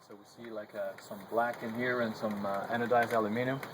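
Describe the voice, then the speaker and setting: Very fast speech with a slight French Canadian accent against noticeable background noise. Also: man. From Quebec. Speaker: solar heating company representative. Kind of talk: product presentation.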